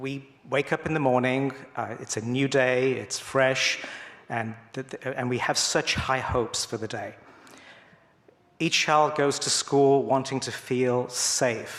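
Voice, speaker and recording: In an English accent, the speaker goes at a fairly slow pace with monotone, flat intonation. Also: man, medium pitch for a man. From England. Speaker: school principal. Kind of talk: church talk. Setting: church congregation. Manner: halting, many fillers and repetitions.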